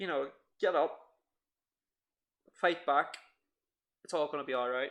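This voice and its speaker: On a very clean recording with a silent background, a man with an Irish accent speaks in a bright, sharp tone with ordinary pitch variation. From Ireland. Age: 20s. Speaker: podcast co-host. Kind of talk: casual podcast chat.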